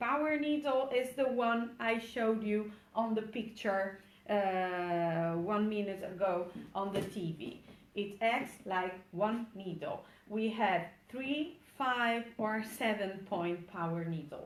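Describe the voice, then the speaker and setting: A woman at a very slow pace, fairly high in pitch, ordinary pitch variation, audible room echo. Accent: Italian. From Italy. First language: Italian. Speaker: micropigmentation trainer, former tattoo artist. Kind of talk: webinar tutorial. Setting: online webinar. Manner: halting, with many fillers.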